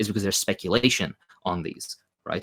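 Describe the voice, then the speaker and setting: A man's fairly low voice with a non-native accent, a bright, sharp tone, ordinary pitch variation, and a dry, close sound with no echo. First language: not English. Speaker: socialist commentator. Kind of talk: Q&A interview. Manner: fast; hesitant, many fillers.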